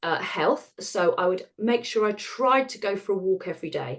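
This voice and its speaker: A woman speaks with an English accent. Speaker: retired osteopath and author. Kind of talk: interview. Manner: fast; animated.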